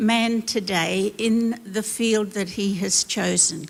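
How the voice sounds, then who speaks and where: Very slowly, a woman speaks with an Australian accent. Her pitch sits fairly high. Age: 80s+. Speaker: former missionary and pastor. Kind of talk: panel discussion answer. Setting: church stage.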